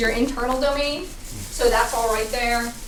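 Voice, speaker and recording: Over noticeable background noise and audible room echo, a woman speaks fairly quickly at a high pitch with monotone, flat intonation. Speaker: tech presenter. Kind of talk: tech talk with demo. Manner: fast.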